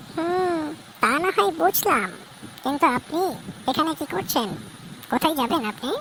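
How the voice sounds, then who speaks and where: Using a cartoonish character voice, a woman speaks at a moderate pace in a high pitch with very wide pitch swings over clear background noise. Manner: sharp, guarded.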